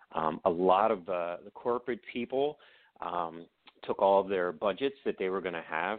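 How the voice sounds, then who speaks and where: Using a normal speaking voice, a man with an American accent talks at a moderate pace in a fairly low pitch, with ordinary pitch variation. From Baltimore, Maryland. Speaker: author and video producer. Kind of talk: casual interview.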